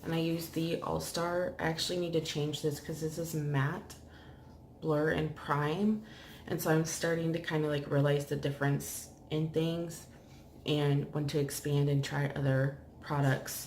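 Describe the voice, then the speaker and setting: Quiet, somewhat breathy woman's voice, very deep and low, monotone and flat, at a fairly slow pace with light background noise. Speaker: beauty vlogger. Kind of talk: makeup tutorial. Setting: at home, bedroom. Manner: casual. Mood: relaxed, a bit low. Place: home room. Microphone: phone near.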